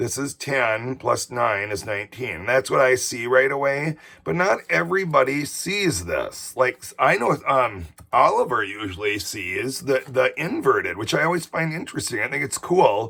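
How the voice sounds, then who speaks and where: His tone is bright and sharp, with a medium pitch and lively intonation. The man keeps a moderate pace with hardly any pauses. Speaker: teacher. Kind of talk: tutorial. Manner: casual.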